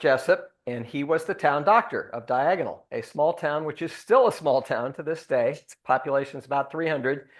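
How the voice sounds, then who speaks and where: A man's fairly high voice with lively intonation against a quiet background. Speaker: son of the deceased giving eulogy. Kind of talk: memorial tribute with slideshow. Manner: loud.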